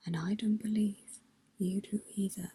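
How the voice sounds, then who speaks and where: The speaker whispers, soft-spoken throughout. The pace is fairly slow. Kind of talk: read story. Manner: whispered.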